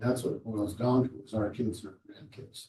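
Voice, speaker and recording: A man's somewhat breathy voice with a dark, mellow tone, at a moderate pace. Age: 70s. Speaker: city commissioner. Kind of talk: government working session discussion.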